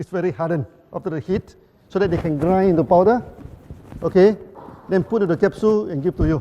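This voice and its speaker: A man talks at a very fast pace, high-pitched for a man. Noticeable background noise runs behind him. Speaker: company founder giving a presentation. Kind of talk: conference presentation. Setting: stage with audience, interpreted. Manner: repetitive, halting.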